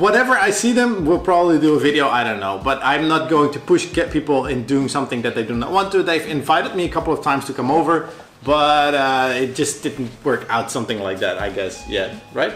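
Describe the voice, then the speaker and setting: Against noticeable background noise, a man with a Dutch accent speaks fairly quickly, his pitch fairly high and his intonation lively. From Netherlands. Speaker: vlogger. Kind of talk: casual chat.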